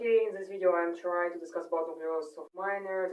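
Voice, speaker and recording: At a moderate pace, a woman talks at a fairly low pitch with fairly even intonation. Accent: non-native. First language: not English. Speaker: medical student. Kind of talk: unscripted study monologue. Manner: halting, many fillers and self-corrections.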